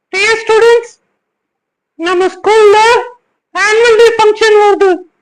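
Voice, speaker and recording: In a cartoonish character voice, a female-sounding voice at an extremely high pitch speaks in a monotone, flat way at a fairly slow pace. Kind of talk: children's puppet show dialogue.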